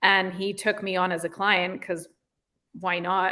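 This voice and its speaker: With a British accent, a woman speaks at a medium pitch and a moderate pace. Her tone is bright and sharp. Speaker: real estate agent. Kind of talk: interview. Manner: casual, many fillers.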